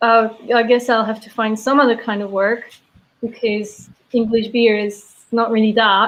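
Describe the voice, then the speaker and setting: With a Belgian accent, a woman talks at a moderate pace in a fairly high pitch, her intonation monotone and flat. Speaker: brewery sales and taproom manager. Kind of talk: casual interview chat.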